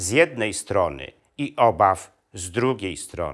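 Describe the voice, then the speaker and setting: A man's bright, sharp, solemn-toned voice with vocal fry, against a quiet background. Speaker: video historian and channel host. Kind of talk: history documentary narration. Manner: measured, solemn, steady storyteller's delivery; formal, addressing audience politely. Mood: serious, somber. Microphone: lapel.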